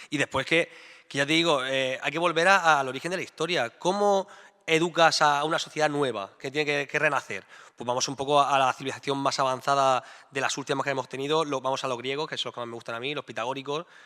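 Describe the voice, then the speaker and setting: A man's very fast speech, fairly high in pitch, bright and sharp in tone, with fairly even intonation. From Murcia, Spain. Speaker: mathematician. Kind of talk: staged debate.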